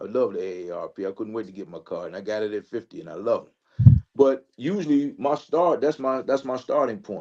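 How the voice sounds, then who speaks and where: A man talks at a fairly quick pace in a medium pitch with lively intonation and big swings in loudness. It is a plain, everyday voice. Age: 60s. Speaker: panelist. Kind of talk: panel discussion.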